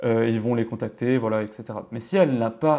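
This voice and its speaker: Very fast and with ordinary pitch variation, a man speaks in a dark, mellow tone. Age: 20s. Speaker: freelance developer and tutorial youtuber. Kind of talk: tutorial. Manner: casual with many hesitations.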